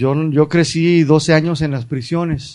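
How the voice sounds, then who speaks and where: A man speaking with a fairly high pitch can be heard through noticeable background noise. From United States. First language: English (speaking Spanish). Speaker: Bible school teacher. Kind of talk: lecture. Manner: halting.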